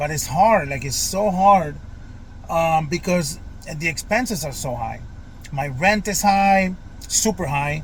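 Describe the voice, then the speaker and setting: A high-pitched man at a fairly slow pace, long, frequent pauses and audible room echo. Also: ordinary pitch variation. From Florida, US South. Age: 40s. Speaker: vlogger. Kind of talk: personal vlog monologue. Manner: hesitant, many fillers.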